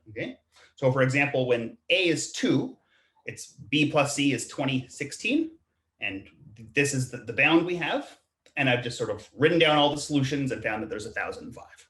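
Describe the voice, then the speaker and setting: A man speaks at a moderate pace in an ordinary speaking voice, with fairly high pitch and ordinary pitch variation. His loudness swings in big ways. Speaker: math professor. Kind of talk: online math lecture. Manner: repeats words, self-corrects.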